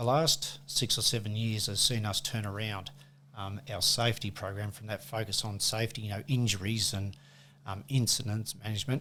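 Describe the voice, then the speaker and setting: A bright, sharp tone in an Australian accent, at a moderate pace with fairly even intonation. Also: man, fairly low pitch for a man. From Australia, west coast of Tasmania. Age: 60s. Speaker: workplace safety manager and football umpire. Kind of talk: casual interview chat. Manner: halting, many fillers.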